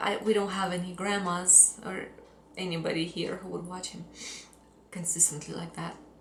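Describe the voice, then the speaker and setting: Speaking in a Russian accent at a moderate pace and medium pitch, a woman has a monotone, flat delivery with long, frequent pauses and big swings in loudness, and the audio carries noticeable background noise and audible room echo. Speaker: fitness coach. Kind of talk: personal story vlog.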